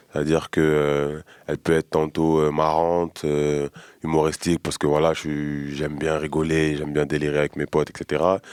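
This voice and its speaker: A man speaks with a very deep, low pitch and monotone, flat intonation. The sound is dry and close, with no echo. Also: moderate pace. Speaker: rapper. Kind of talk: interview. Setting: studio. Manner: halting, many fillers.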